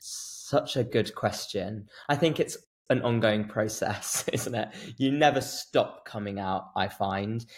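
A man with a medium pitch and a somewhat breathy voice speaks at a very slow pace with ordinary pitch variation. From England, near Birmingham. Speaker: actor and writer. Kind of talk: casual interview. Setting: studio.

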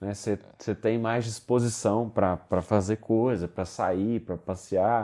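In a dark, mellow tone, a man talks with a fairly low pitch and monotone, flat intonation against a quiet background. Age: 20s. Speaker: solar energy entrepreneur. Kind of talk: interview. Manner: halting.

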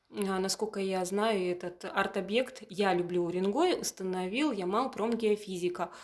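Using a normal speaking voice, a woman talks at a medium pitch and a moderate pace with ordinary pitch variation. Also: hardly any pauses. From Yamal, Russian Far North (Purovsky district). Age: 30s. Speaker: museum curator. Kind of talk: interview.

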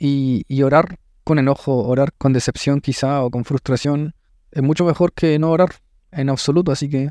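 With a Chilean accent, a man speaks at a fairly high pitch with fairly even intonation and a dark, mellow tone, in a dry, close sound with no echo. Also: quiet background. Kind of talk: faith reflection; casual interview. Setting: café.

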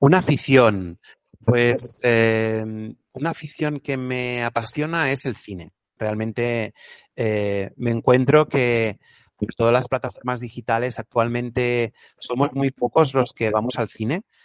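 A man talks very slowly, the sound dry and close with no echo. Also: medium pitch for a man, ordinary pitch variation. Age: 40s. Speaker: psychologist, NGO director. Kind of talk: interview. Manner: hesitant, repeats words.

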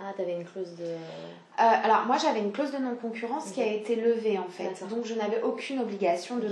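In a room with audible echo and noticeable background noise, a woman talks at a fairly quick pace in a fairly high pitch with ordinary pitch variation. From southeastern France. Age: 20s. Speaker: business founder. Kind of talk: casual chat. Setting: at home.

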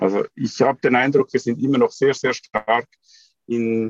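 A man uses a normal speaking voice at a medium pitch with fairly even intonation and a moderate pace. The sound is dry and close, with no echo. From Switzerland. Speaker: computer scientist, startup co-founder. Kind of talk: podcast interview.

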